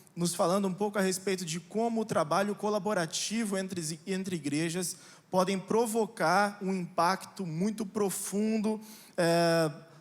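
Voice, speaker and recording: A man speaks with a high pitch and fairly even intonation. His pace is fairly slow. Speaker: pastor. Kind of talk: sermon. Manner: hesitant fillers.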